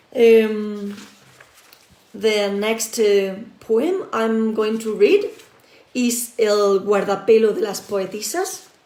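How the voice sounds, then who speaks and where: A woman's fairly high voice shows ordinary pitch variation and carries audible room echo. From southern Spain, Andalusia (Granada). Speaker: poet. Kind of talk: poetry reading. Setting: live stream from home. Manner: hesitant, many fillers. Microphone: audio problems, switched computer.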